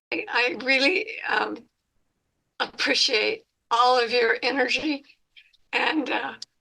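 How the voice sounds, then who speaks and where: With a high pitch and a bright, sharp tone, a woman speaks very slowly with lively intonation. Long, frequent pauses break up her speech. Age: 80s+. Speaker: stroke survivor, support group member. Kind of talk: support group sharing. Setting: video call.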